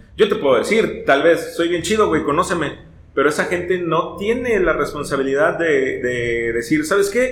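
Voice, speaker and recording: Music plays in the background as a man speaks at a moderate pace. His voice has a high pitch. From Veracruz, Mexico. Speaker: ska singer and radio announcer. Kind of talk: casual chat.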